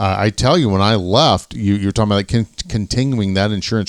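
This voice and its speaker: A man talks very fast at a fairly low pitch with ordinary pitch variation. The recording is very clean and dry, close with no echo, over a silent background. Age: 50s. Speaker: retired police officer and podcast co-host. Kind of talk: casual chat.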